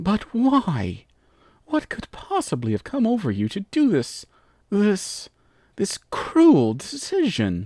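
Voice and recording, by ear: At a fairly slow pace, the speech is delivered in a put-on character voice. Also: man, high pitch for a man.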